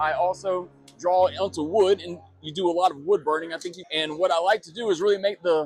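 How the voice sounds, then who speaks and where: With music in the background, a man with a high pitch talks at a very fast pace. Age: 40s. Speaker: artist and vendor at a card show. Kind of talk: casual interview.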